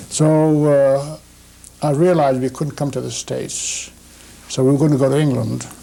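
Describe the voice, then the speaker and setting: Moderately paced speech from a man with a fairly high pitch, noticeable background noise behind it. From Shanghai, China. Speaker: immigrant interviewee. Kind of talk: interview. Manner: halting.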